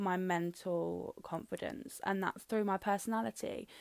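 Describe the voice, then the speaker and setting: A woman's medium-pitched voice with a British accent, recorded very cleanly against a silent background. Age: young. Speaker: podcast host. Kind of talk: solo monologue podcast. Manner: casual, with frequent fillers.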